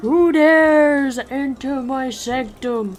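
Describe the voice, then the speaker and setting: A female-sounding voice puts on a character at a high pitch and a very slow pace. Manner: menacing, imposing.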